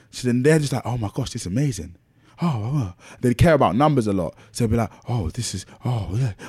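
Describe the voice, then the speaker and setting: In a very clean recording with a silent background, a man with a medium pitch speaks at a fairly quick pace, somewhat breathy, with an animated tone and lively intonation. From south London, Lewisham. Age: 20s. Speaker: DJ and presenter. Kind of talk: casual chat.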